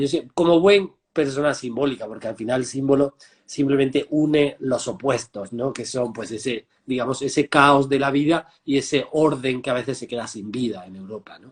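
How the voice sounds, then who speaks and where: A man with a plain, everyday voice, fairly high pitch, ordinary pitch variation, a fairly quick pace and big swings in loudness. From Andalusia, Spain (Marmolejo, Jaén). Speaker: transpersonal therapist. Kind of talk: interview.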